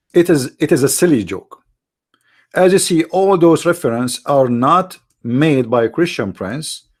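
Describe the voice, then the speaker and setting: A man with an Arabic accent, fairly high in pitch, with lively intonation at a moderate pace, in a very clean recording with a silent background. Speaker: religious debate show host. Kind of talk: live-stream commentary. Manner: animated, halting with repetitions.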